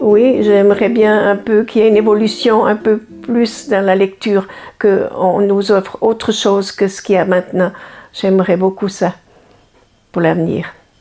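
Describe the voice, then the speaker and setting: A woman speaks at a medium pitch and a moderate pace, her intonation flat and monotone. Long pauses come often. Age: old. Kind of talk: interview answer. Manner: hesitant.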